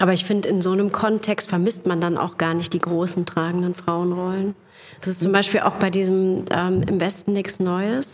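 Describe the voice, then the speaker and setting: A woman talks at medium pitch and a moderate pace. Her intonation is monotone and flat, her loudness very even. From Lower Rhine region, Germany. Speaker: actress and voice artist. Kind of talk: casual chat.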